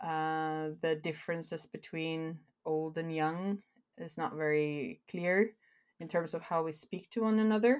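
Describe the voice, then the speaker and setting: A woman with a Norwegian accent speaks at a fairly slow pace with a fairly low pitch and ordinary pitch variation. The recording is very clean, with a silent background. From Norway. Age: middle-aged. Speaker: Norwegian language teacher. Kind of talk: tutorial.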